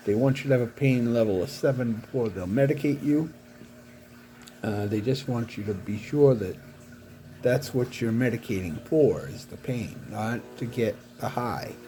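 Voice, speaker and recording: A man's somewhat breathy voice of medium pitch with a dark, mellow tone, ordinary pitch variation and a moderate pace. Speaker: paraplegic vlogger. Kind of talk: personal video diary. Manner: halting.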